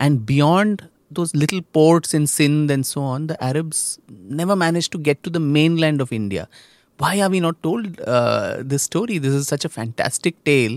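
A man with a fairly high pitch and an unremarkable speaking voice talks at a moderate pace, recorded with a dry, close sound with no echo, very clean with a silent background. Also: ordinary pitch variation. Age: young. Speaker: author and historian. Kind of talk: interview. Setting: studio.

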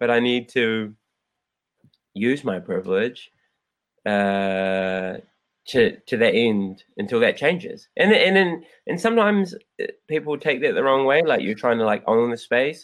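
In a New Zealand accent, a man talks at a fairly slow pace with very wide pitch swings and long, frequent pauses. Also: medium pitch for a man. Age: 30s. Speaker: former fighter and anti-violence advocate. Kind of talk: casual chat.

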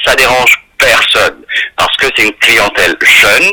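The sound is dry and close, without any echo. A man delivers his words at a fairly slow pace. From Mauritius. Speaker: LGBT rights activist. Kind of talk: interview.

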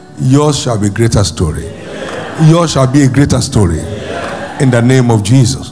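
A man at a medium pitch, with long, frequent pauses and music in the background. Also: lively intonation, moderate pace. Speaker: pastor. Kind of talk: fervent preaching with repeated exhortations and prayer. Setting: church with congregation. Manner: emphatic, rhythmic, repeating phrases for effect.

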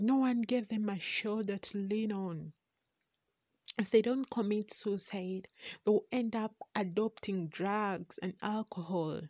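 A woman with a Ugandan accent speaks at a very slow pace, her medium-pitched voice dark and mellow with fairly even intonation. The recording is very clean, with a silent background and a dry, close sound with no echo. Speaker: podcast host. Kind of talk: monologue podcast intro.

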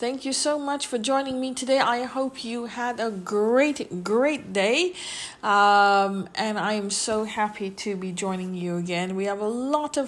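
A woman's fairly high voice, a normal speaking voice, with ordinary pitch variation and a fairly slow pace. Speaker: podcast host. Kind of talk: informal, chatty.

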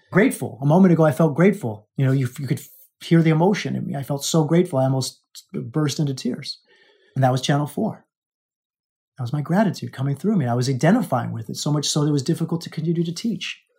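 A man talks at a very fast pace with a fairly high pitch and ordinary pitch variation. His tone is dark and mellow, and somewhat breathy. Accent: American. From Alaska. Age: 40s. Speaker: life coach and podcast host. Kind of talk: motivational monologue.

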